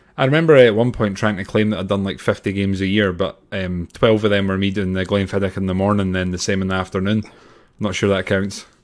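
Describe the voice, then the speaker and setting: Speaking at a very fast pace with a Scottish accent, a man talks in a fairly low pitch with fairly even intonation. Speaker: Highland Games athlete and podcast co-host. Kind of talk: casual chat.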